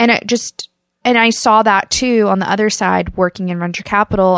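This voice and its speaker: In a very clean recording with a silent background and a dry, close sound with no echo, a woman with a Midwestern US accent talks at a fairly quick pace at medium pitch with ordinary pitch variation. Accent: General American, Midwest. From US Midwest, Kansas. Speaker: podcast co-host. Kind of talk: casual chat.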